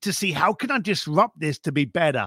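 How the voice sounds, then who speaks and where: A man's bright, sharp tone with a London accent at a moderate pace, on a very clean recording with a silent background. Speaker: author and concierge for the wealthy. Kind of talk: interview chat.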